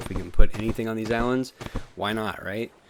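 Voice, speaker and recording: A man with a fairly low pitch talks against noticeable background noise. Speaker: gaming youtuber. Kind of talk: gameplay commentary. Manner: casual, many fillers; fast.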